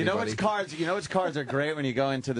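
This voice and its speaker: Using a normal speaking voice, a man talks with lively intonation at a fairly high pitch. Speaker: radio show host. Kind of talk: radio show banter.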